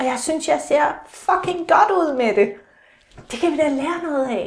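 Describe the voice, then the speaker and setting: Her intonation is lively. The woman talks at a moderate pace. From Denmark, Aalborg (North Jutland). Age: 40s. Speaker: psychotherapist and author. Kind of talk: casual interview chat. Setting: countryside course centre. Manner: hesitant, many fillers.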